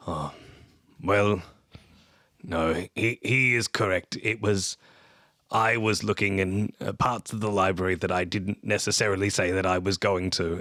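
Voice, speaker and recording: Putting on a raspy character voice, a man speaks at a fairly low pitch and moderate pace, with fairly even intonation and long, frequent pauses, in a dry, close sound with no echo. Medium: actual play. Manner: polite, gracious.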